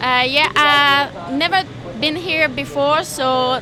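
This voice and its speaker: In a Quebec French accent, a woman speaks at a very slow pace in a raised, projected voice, with audible room echo and crowd noise in the background. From Quebec, Canada. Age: 20s. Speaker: motocross racer. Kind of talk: press conference interview.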